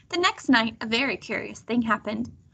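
A reading voice that is natural

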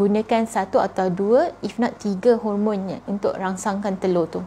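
A woman speaks at a moderate pace in a fairly high pitch, with light background noise behind her. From Malaysia. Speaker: fertility doctor. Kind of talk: live Q&A talk. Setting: Instagram live stream. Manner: conversational with many fillers. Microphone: lapel.

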